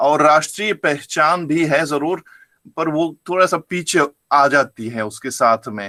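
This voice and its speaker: A man's fairly high, bright, sharp voice with a German accent and ordinary pitch variation, in a very clean, dry, close recording with a silent background and no echo. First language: German (speaking Hindi). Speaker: professor. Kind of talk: lecture. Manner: halting.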